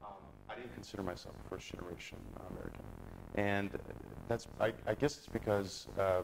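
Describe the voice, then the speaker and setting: Over music in the background, a man with a fairly low pitch talks at a fairly quick pace, his intonation fairly even but his loudness swinging widely, broken by long, frequent pauses. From US Midwest, Chicago. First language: Polish. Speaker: company managing director, interview guest. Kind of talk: interview.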